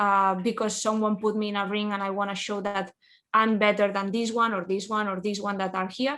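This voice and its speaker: Against a quiet background, a woman speaks at a medium pitch and a moderate pace. Her bright, sharp tone stays monotone and flat. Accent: Spanish. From Spain. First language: Spanish. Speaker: professional wrestler. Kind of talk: interview. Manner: halting.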